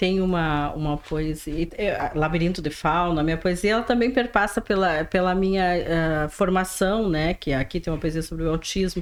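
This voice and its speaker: Speaking in a strong rural gaúcho accent, a woman with a fairly low pitch runs on with hardly any pauses. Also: ordinary pitch variation, moderate pace. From interior of Rio Grande do Sul, Brazil. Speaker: writer and teacher. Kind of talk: podcast interview. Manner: halting, repeats words.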